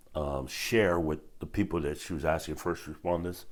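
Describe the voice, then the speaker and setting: Very deep and low in pitch, a man speaks with a Hawaiian accent. His pace is moderate. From Hawaii, west side of Oahu. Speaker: retired police officer. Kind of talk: interview testimony. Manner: halting, many fillers.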